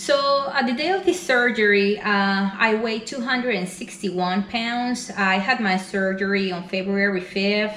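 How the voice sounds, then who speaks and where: A woman at a medium pitch with a Spanish accent and fairly slow pace, amid noticeable background noise and audible room echo. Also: ordinary pitch variation, hardly any pauses. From Venezuela. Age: 40s. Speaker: weight loss vlogger. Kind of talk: personal vlog. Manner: hesitant, many fillers.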